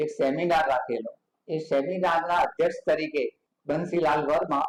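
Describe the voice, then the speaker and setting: The speaker is a man. His pitch is high. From North Gujarat, Kheralu. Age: 80s+. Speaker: painter. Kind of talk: interview. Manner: halting.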